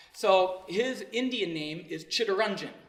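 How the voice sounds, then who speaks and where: The speech has lively intonation. There is audible room echo and noticeable background noise. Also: man. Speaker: motivational speaker. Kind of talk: speech to an audience.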